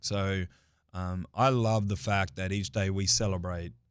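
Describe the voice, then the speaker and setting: Moderate pace with an Australian accent, in a very clean recording over a silent background. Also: man. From Australia, Adelaide. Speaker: construction safety manager. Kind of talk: casual interview. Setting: studio.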